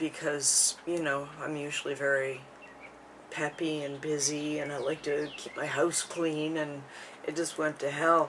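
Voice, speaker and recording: Mumbling in a monotone, flat intonation, a woman with a very deep, low pitch speaks over noticeable background noise. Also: fairly slow pace. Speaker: vlogger sharing her illness. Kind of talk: personal vlog monologue. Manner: halting, many fillers.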